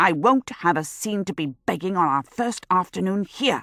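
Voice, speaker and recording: Hissing and growling, a woman speaks at a moderate pace in a medium pitch with lively intonation, recorded very cleanly against a silent background with a dry, close sound and no echo. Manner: hissing, stern, low and sharp.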